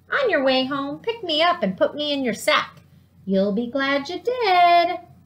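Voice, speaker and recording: In a put-on character voice, the speaker moves through very wide pitch swings at a moderate pace. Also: woman, high pitch for a woman. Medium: read story. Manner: coaxing.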